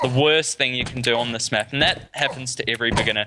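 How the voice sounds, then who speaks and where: With a New Zealand accent, a man speaks at medium pitch and a moderate pace against noticeable background noise. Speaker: gaming tutorial creator. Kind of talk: tutorial. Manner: casual, with fillers and restarts.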